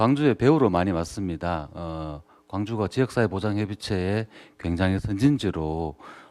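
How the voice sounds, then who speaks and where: This man's pitch is very deep and low. He talks at a moderate pace with lively intonation. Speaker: social welfare counseling center director. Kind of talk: panel discussion talk. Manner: halting, many fillers.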